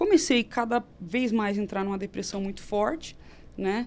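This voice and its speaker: Here a woman speaks in a plain, everyday voice, pitched fairly high. Her intonation is lively. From Brazil, Campinas (São Paulo state). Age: 30s. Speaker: nutritionist and traditional Chinese medicine teacher. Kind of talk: casual interview chat.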